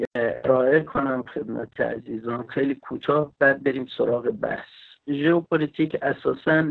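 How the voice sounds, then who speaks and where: At a fairly slow pace, a man with a normal speaking voice and a fairly high pitch talks with ordinary pitch variation. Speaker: geopolitics expert. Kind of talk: lecture-style panel talk.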